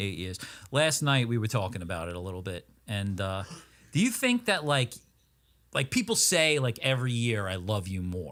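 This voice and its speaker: A man talks at a moderate pace in a medium pitch with lively intonation. The recording is very clean, with a silent background. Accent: Long Island. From Long Island, New York. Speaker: podcast co-host. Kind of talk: casual chat.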